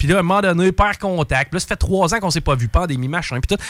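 Dry and close with no echo, a high-pitched man speaks at a fairly quick pace with lively intonation. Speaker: radio columnist. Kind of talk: true crime storytelling; casual radio chat.

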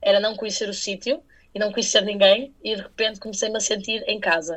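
Over a quiet background, a woman with a fairly high pitch talks at a moderate pace. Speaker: radio journalist. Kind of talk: interview.

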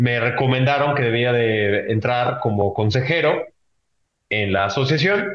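A man with an ordinary speaking voice talks at a medium pitch and a fairly slow pace, with ordinary pitch variation. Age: 20s. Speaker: podcast host, insurtech association president. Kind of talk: casual chat.

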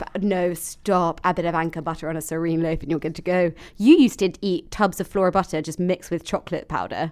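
A woman with a southern English accent and a fairly low pitch, talking at a very fast pace with fairly even intonation, in a very clean recording with a silent background. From London. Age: 20s. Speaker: podcast co-host. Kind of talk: casual chat.

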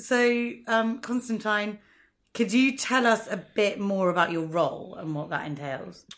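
With a London accent and lively intonation, a woman talks at a fairly slow pace on a very clean recording with a silent background. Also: fairly high pitch for a woman. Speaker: podcast host. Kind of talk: casual interview. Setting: studio.

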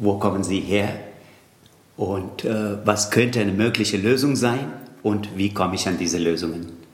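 A man with a Tamil accent speaks at a moderate pace with fairly even intonation, long and frequent pauses, and audible room echo. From India, Tamil Nadu. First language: Tamil (speaking German). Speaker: yoga teacher and Sanskrit scholar. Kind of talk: interview. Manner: halting.

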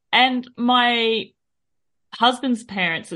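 This is a woman speaking. She talks with an Australian accent. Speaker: cyclist and podcaster. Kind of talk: casual interview chat.

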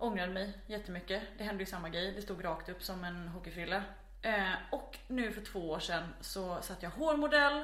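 A woman of medium pitch speaks at a moderate pace with lively intonation. Audible room echo and noticeable background noise surround her voice. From Småland, Sweden (near Växjö). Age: 20s. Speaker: podcast guest. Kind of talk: casual chat. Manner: animated.

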